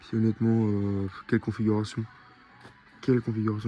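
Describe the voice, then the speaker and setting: Music plays in the background as a man of medium pitch talks at a very fast pace. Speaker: car vlogger. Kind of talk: vlog commentary. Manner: animated.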